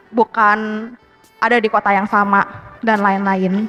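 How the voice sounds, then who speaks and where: Music plays behind the speaker. The voice belongs to a woman. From Jakarta. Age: 20s. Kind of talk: personal storytelling to live audience. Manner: casual, conversational.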